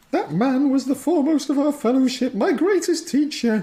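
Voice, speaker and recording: A man does a put-on character voice at an extremely high pitch. His tone is dramatic and his pace moderate. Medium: actual play. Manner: cool, tart, over-dramatic.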